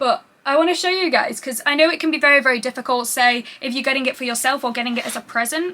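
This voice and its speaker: A woman with a British accent speaks in a raised, projected voice at a very fast pace, high in pitch with ordinary variation. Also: hardly any pauses. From UK. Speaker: YouTuber. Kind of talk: unboxing video. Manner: animated.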